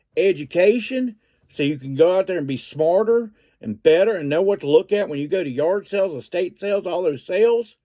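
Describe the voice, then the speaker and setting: Speaking in a Southern US accent, a man with a high pitch has a dark, mellow tone and lively intonation. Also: fairly quick pace. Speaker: reseller vlogger. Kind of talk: casual vlog talk. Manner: halting, with fillers and repeats.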